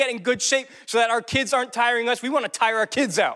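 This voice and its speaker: Raising and projecting his voice, a man speaks with a bright, sharp tone at an extremely high pitch. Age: 20s. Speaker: pastor. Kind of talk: sermon. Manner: animated.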